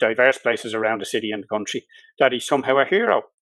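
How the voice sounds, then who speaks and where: A man speaks with a Dublin accent. The sound is dry and close, with no echo. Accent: Dublin Irish. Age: 60s. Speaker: solicitor and election candidate. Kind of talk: political interview.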